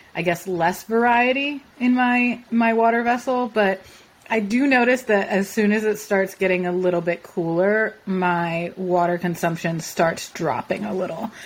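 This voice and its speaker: Speaking fairly slowly, a woman with a normal speaking voice and a medium pitch shows ordinary pitch variation. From Philadelphia, US. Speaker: podcast co-host. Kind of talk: casual chat.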